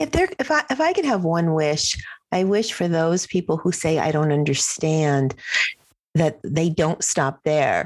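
With an ordinary speaking voice, a woman talks at a fairly slow pace in a fairly low pitch, keeping ordinary pitch variation and very even loudness. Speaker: podcast host. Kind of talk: casual chat.

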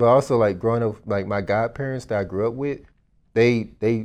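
In a normal speaking voice with an American accent, a man at medium pitch talks at a fairly quick pace with fairly even intonation against a quiet background. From Dallas, Texas. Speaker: real estate investor. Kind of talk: casual interview.

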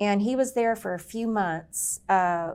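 In a very clean recording with a silent background, a woman with an American accent talks at a fairly slow pace in a normal speaking voice. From Indiana, US Midwest. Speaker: sales executive. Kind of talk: casual chat.

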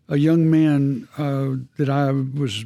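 A man with a Texan accent speaks at medium pitch. His tone is dark and mellow. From Texas. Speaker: camp ministry president. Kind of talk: faith testimony interview. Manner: halting.

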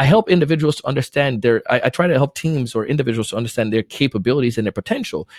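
A man at a very fast pace and medium pitch, hardly any pauses, dry and close with no echo. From Jamaica, moved to Florida at nine. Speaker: sales trainer and podcast host. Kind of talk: casual interview.

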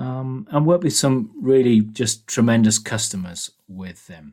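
A man with a British accent at a medium pitch and a fairly slow pace. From England. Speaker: engineering business executive. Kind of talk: interview.

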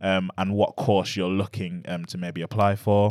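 In an East Midlands accent, the speaker delivers fairly even intonation at a fairly slow pace on a very clean recording with a silent background. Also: man. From Nottingham, England. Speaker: university schools liaison officer. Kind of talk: informative panel chat. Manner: hesitant, many fillers.

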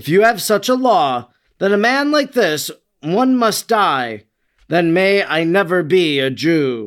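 Using a put-on character voice, a man speaks slowly at a high pitch with big pitch swings and a fairly bright tone.

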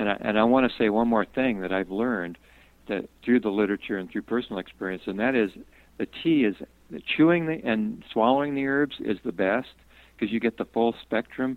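A man with fairly low pitch speaks at a fairly quick pace with ordinary pitch variation, in an unremarkable speaking voice. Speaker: herbalist and botanist. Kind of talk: interview, casual chat. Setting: phone call.

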